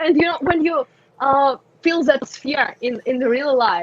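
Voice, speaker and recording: Speaking with a Russian accent, a woman goes at a fairly slow pace with ordinary pitch variation. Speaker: community manager for a game. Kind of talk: podcast interview. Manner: halting, many fillers; animated.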